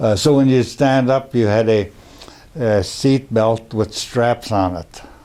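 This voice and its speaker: In an American accent, a man with a medium pitch speaks at a very slow pace over noticeable background noise. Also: ordinary pitch variation. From Minnesota, US Upper Midwest. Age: 80s+. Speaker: war veteran. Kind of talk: oral history interview.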